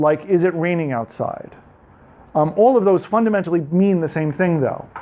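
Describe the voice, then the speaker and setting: A man with a New York accent, high-pitched for a man, with ordinary pitch variation. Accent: New York American. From New York, US. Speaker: tech speaker, developer. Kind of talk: technical presentation to audience. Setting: meetup talk with live audience. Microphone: speaking without a microphone.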